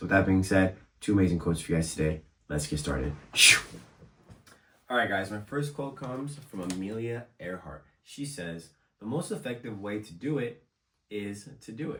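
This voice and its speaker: Pitch swings very widely in this moderately paced speech, broken by long, frequent pauses. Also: man, fairly low pitch for a man. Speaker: motivational YouTuber. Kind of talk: motivational talk to camera. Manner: casual, conversational.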